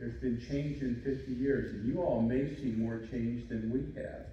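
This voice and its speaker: This man talks at a fairly slow pace with medium pitch and ordinary pitch variation. Audible room echo and noticeable background noise fill the recording. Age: 60s. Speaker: commencement speaker, doctor. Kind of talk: graduation speech. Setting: ceremony with audience.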